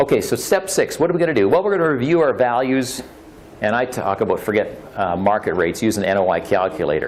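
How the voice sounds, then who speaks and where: Over noticeable background noise, a man with a Canadian accent speaks very fast at a medium pitch with very wide pitch swings. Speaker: real estate investor. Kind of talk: presentation. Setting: meetup audience.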